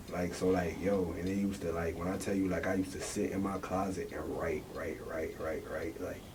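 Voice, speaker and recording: In a room with audible echo and noticeable background noise, a man with a very deep, low voice speaks at a fairly quick pace in a flat monotone, with hardly any pauses. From North Carolina (born Syracuse, New York). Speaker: rapper. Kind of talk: casual interview.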